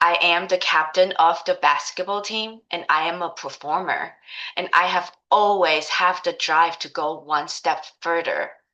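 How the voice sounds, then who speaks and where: Speaking at a fairly slow pace, a woman with a Taiwanese accent keeps a monotone, flat intonation. Her fairly low voice has a bright, sharp tone over a quiet background. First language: Mandarin Chinese. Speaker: life coach. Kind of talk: course introduction, personal story.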